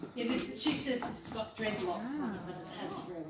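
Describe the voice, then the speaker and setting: An Australian accent with audible room echo. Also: woman. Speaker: quilter and quilting teacher. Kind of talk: talk to a club audience. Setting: meeting hall with audience.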